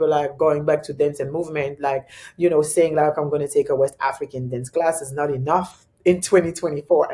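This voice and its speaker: The speaker talks at a moderate pace. They have a French accent. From Congo. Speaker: choreographer and dance teacher. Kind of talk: podcast interview.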